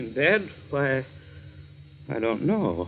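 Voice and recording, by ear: A man's put-on character voice, medium in pitch, with vocal fry, big pitch swings and a slow pace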